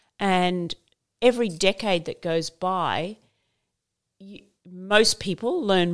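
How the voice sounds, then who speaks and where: In a very clean recording with a silent background, a woman with an Australian accent speaks at a medium pitch. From Queensland, Australia. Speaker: fashion brand founder. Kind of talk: interview.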